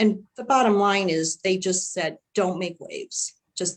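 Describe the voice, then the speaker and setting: A woman speaks at a medium pitch with a Chicago accent. Her pace is fairly slow, with ordinary pitch variation. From US Midwest, Chicago. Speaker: panelist, former corporate manager. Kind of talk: panel discussion.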